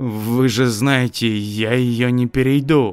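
A man talks in a put-on character voice at medium pitch, with fairly even intonation. He goes at a fairly slow pace over faint background music.

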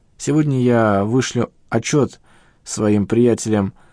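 The voice reads in an unforced manner. Pitch varies in an ordinary way.

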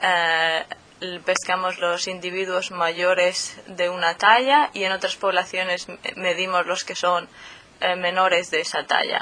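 Over noticeable background noise, a woman speaks very slowly at a medium pitch with fairly even intonation. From Murcia, southeastern Spain. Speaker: PhD student in fisheries biology. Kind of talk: interview. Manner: hesitant, many fillers.

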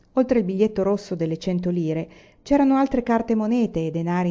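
Here is plain reading aloud with lively intonation.

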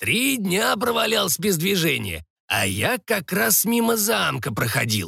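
Doing a put-on character voice, a man sounds raspy and creaky with vocal fry, using a high pitch, very wide pitch swings and a bright, sharp tone. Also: fairly slow pace.

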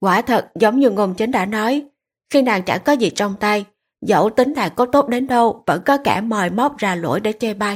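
The speaker uses an unforced reading voice with ordinary pitch variation against a quiet background.

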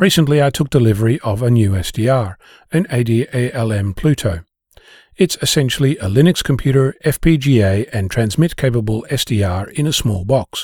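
A man with a medium pitch and a somewhat breathy voice speaks at a fairly quick pace with lively intonation. The recording is very clean, with a silent background and a dry, close sound with no echo. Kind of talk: scripted essay reading. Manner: calm, thoughtful, explanatory.

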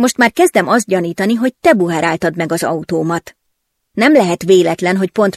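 Over a quiet background comes reading aloud in a natural voice.

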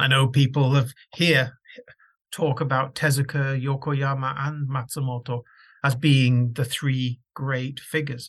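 A man talks in a monotone, flat intonation, somewhat breathy. His pace is fairly slow. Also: medium pitch for a man. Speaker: scholar. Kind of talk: recorded tribute reading. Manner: heartfelt.

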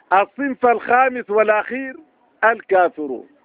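A man talks at a high pitch with vocal fry. The sound is dry and close, with no echo.

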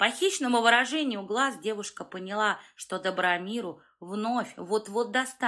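Pitch shifting in an ordinary way through an unforced reading voice

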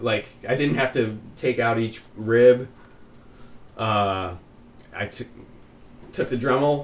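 Here a man of medium pitch talks at a very slow pace. His intonation stays fairly even, broken by long, frequent pauses. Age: 30s. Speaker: podcast co-host. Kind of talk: casual chat.

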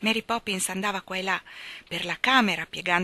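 The reading aloud is plain, its intonation fairly even.

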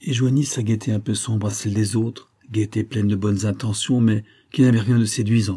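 The intonation doesn't vary much, staying fairly even. This is a natural reading voice.

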